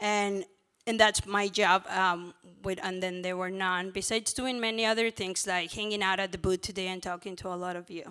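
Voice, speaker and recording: With a Mexican accent, a woman speaks at a moderate pace in a bright, sharp tone and flat monotone intonation. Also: medium pitch for a woman. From Mexico. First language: Spanish. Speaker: former abortion clinic worker, pro-life ministry worker. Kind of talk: conference panel talk. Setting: stage with audience.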